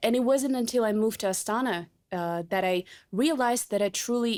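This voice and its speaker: This woman has a Russian accent, a fairly high pitch and lively intonation at a moderate pace. The recording is very clean, with a silent background. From Kazakhstan, Kostanai (north). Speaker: journalist, podcast co-host. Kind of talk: casual chat.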